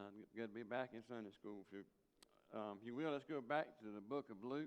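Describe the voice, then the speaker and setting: Fairly quick speech from a man with a South Carolina accent, medium in pitch, with ordinary pitch variation. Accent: Southern US (South Carolina). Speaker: Sunday school teacher. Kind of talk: Bible lesson. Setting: church. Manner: halting.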